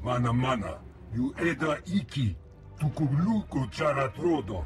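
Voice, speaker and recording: Put-on character voice from a man at medium pitch over clear background music. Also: moderate pace. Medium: video game. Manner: speaks an alien language.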